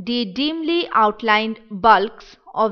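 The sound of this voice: This is an unforced reading voice. Nothing else is marked.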